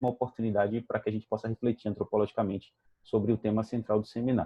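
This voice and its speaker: Very fast pace with fairly even intonation. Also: man. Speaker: anthropologist, event moderator. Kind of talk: formal introduction of a speaker.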